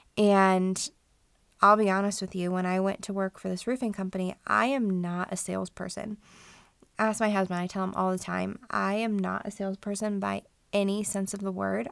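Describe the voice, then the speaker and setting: In an American accent, a woman speaks at a medium pitch with monotone, flat intonation. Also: moderate pace, very clean recording, silent background. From Colorado, US. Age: 30s. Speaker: podcast host and contractor. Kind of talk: solo podcast monologue.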